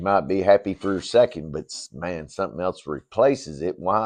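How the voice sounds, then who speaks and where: Against a quiet background, a man with a fairly low pitch speaks with lively intonation. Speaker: ministry leader. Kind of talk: inspirational message. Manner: slow; conversational, halting.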